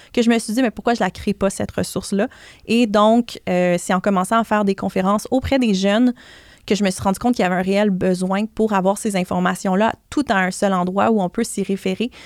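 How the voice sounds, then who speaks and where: In a very clean recording with a silent background, a woman with an unremarkable speaking voice talks at a fairly quick pace and medium pitch, her intonation fairly even and the sound dry and close with no echo. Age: 30s. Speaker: blogger and personal finance author. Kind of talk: podcast interview.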